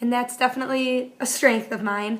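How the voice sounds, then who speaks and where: A woman talks at a fairly quick pace with an American accent. Her pitch is high. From Buffalo area, western New York. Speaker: graduate student. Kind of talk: self-reflection video monologue. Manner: fast.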